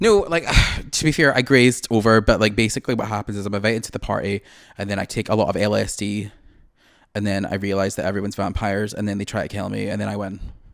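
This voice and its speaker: Very fast speech with vocal fry, fairly even intonation and a Scottish accent on a very clean recording with a silent background. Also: man, fairly low pitch for a man. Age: 20s. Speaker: podcast co-host. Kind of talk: casual chat.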